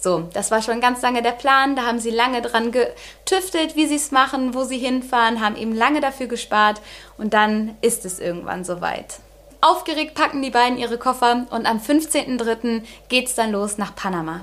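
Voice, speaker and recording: A woman with a high pitch and ordinary pitch variation speaks at a moderate pace. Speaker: true crime podcast host. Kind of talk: storytelling narration. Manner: casual, filler-heavy.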